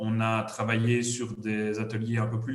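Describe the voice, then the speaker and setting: Speaking with a Liège accent, a man uses a monotone, flat intonation at a medium pitch. There is audible room echo and noticeable background noise. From Belgium, Liège area. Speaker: HR services company representative. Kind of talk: business presentation.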